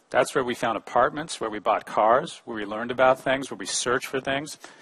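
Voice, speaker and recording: Speaking at a fairly quick pace, a man with an American accent uses a medium pitch and ordinary pitch variation. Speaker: professor and conference keynote speaker. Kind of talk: conference keynote talk. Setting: stage with audience. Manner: fast.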